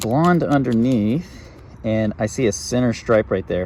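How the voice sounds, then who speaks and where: A man talks with very wide pitch swings. Noticeable background noise runs under his voice. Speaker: wildlife YouTuber, turtle enthusiast. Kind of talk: outdoor field vlog narration. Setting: outdoors by a creek. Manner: quiet, hushed; casual, hesitant with fillers.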